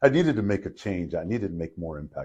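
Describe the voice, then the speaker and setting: A man speaks at a fairly quick pace with lively intonation. His voice is somewhat breathy, with a dark, mellow tone. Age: 60s. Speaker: entrepreneur. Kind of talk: casual chat.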